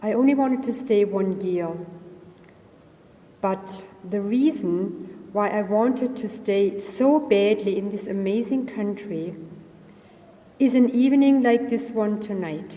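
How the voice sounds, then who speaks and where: A woman at medium pitch with a German accent, fairly slow, with long, frequent pauses, audible room echo and noticeable background noise. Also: ordinary pitch variation. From Germany. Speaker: audience member giving a comment. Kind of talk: reading a prepared comment. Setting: mosque with audience.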